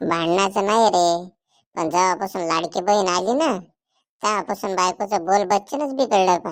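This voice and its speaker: A woman performs a cartoonish character voice. Her pitch sits at a medium level. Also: moderate pace, very clean recording, silent background. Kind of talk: rural Marathi cartoon comedy.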